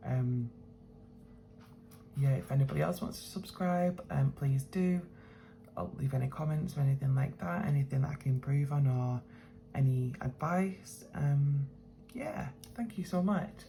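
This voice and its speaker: A woman mumbles quietly at a moderate pace with a British accent, her pitch very deep and low and her intonation lively. She takes long, frequent pauses, and background noise is noticeable. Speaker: budgeting vlogger. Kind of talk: casual vlog talk. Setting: at home, early morning. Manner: quiet, mumbling; hesitant, many fillers.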